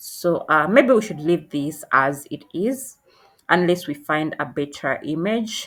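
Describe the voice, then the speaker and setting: This woman has a non-native accent and fairly low pitch. She talks at a fairly slow pace with lively intonation. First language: not English. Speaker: tutorial creator. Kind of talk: tutorial. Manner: halting, many fillers.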